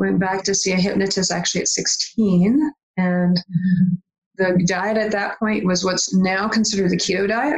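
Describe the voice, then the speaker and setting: A woman of medium pitch at a moderate pace, with very even loudness. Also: fairly even intonation. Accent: Upper Midwest. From Michigan, small town. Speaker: life coach and hypnotist. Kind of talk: interview. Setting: home office.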